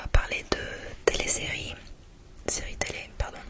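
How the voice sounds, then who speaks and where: A woman whispers over noticeable background noise. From England. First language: English (speaking French). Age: 30s. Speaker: ASMR creator. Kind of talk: ASMR show and tell. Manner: whispering.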